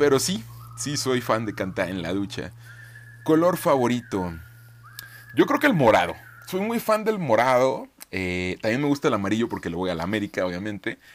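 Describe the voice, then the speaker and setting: Long, frequent pauses break up a man's speech at a moderate pace. His pitch swings very widely. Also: medium pitch for a man. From Mexico, Michoacán (Zitácuaro). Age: 20s. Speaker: podcaster. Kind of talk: casual monologue.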